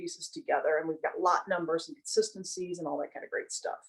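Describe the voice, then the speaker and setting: Lively intonation marks a woman speaking at a very fast pace. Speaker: building products sales representative. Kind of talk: webinar presentation. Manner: hesitant, many fillers.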